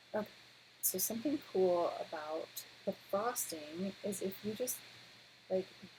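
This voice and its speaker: Quiet and medium in pitch, a woman is speaking. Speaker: art teacher. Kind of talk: tutorial.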